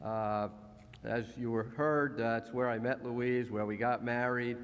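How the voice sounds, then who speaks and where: A man speaks with a New Jersey accent at a moderate pace. His pitch sits in the medium range. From US, New Jersey. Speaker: honorary graduate speaker. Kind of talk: graduation speech. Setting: ceremony hall with audience.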